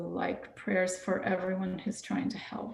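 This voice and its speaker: A soft-spoken woman talks with an American accent over noticeable background noise. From Texas, San Antonio. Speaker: nonprofit director, migrant advocate. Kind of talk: guest talk in church service. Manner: halting.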